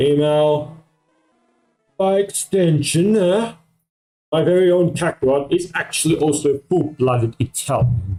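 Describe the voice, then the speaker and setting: Over music in the background, a man speaks slowly enough to be fairly slow, with long, frequent pauses, a fairly high pitch, lively intonation and very even loudness. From Australia. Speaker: streamer. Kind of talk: casual chat. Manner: rambling with many fillers.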